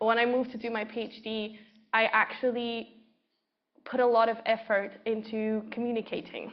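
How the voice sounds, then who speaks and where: Her intonation flat and monotone, a woman with a non-native accent speaks at a moderate pace in a fairly high pitch. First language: not English. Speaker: researcher. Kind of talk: panel discussion.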